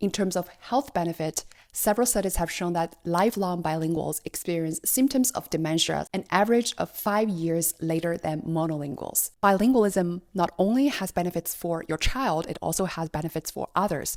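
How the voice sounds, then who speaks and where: Recorded very cleanly against a silent background, with a dry, close sound and no echo, a woman with a Chinese accent speaks at a moderate pace in a fairly low pitch with ordinary pitch variation. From China. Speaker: parenting vlogger. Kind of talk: scripted narration.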